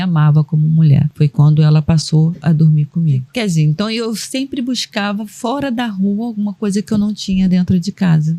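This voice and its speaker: A woman with an unremarkable speaking voice talks at a moderate pace with ordinary pitch variation, in a dry, close sound with no echo. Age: 60s. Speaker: caregiver and sign language interpreter, guest. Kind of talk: personal testimony in podcast interview.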